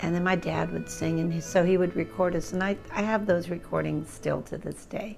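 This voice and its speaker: Over music in the background, a woman speaks at a fairly quick pace with hardly any pauses. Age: 70s. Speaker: musician. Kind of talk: interview answer. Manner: casual, conversational.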